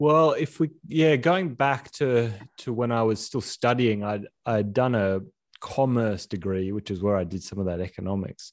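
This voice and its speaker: Lively intonation marks this man's medium-pitched voice and Australian accent. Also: moderate pace, quiet background. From Australia, Sydney. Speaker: filmmaker and entrepreneur. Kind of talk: casual interview. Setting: remote call. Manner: halting, many restarts.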